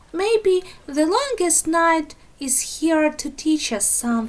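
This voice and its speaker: Putting on a squeaky character voice, a woman talks at a fairly slow pace and an extremely high pitch. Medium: read story.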